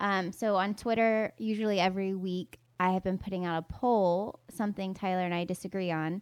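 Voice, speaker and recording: Speaking with an American accent, a woman at medium pitch keeps a moderate pace and fairly even intonation on a very clean recording with a silent background. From US South, North Carolina. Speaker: podcast co-host and YouTuber. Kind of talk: casual chat.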